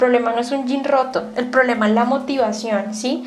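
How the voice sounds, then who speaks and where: Fairly quick and monotone, a woman talks in a high, flat voice. Audible room echo and noticeable background noise surround her. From Colombia, Bogotá. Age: 20s. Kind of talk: radio interview testimony.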